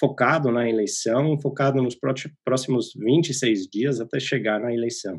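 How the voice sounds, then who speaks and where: This man has an American accent. His pitch is medium. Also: ordinary pitch variation, moderate pace. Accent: foreign (American) accent in Portuguese. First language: English (speaking Portuguese). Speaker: political science professor. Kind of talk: interview. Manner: halting, many fillers and repetitions.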